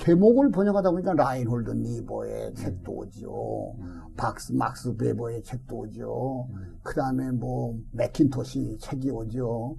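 A man talks at a very slow pace, and audible room echo follows his words. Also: big swings in loudness. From South Korea, Daejeon (Chungcheong). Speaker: retired pastor. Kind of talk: interview, life story.

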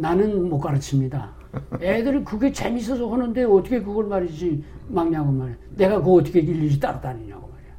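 Noticeable background noise surrounds a man whose high voice has lively intonation. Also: big swings in loudness. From North Korea. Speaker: retired pastor. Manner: halting, filler-heavy.

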